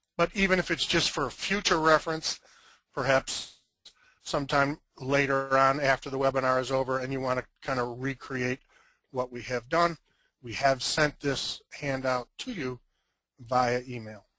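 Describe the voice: A gravelly man's voice at medium pitch carries a bright, sharp tone and fairly even intonation. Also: moderate pace.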